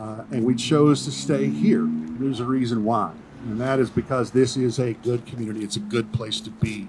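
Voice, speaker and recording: A man with a Southern US accent talks at medium pitch and a moderate pace, with lively intonation. Noticeable background noise can be heard. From Tennessee. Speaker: pastor. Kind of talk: public comment speech. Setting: school board meeting.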